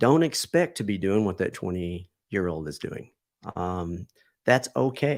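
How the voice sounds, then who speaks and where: Speaking with an unremarkable speaking voice, a man talks at a fairly slow pace and fairly low pitch on a very clean recording with a silent background. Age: 50s. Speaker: martial arts and self-defense instructor. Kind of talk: interview.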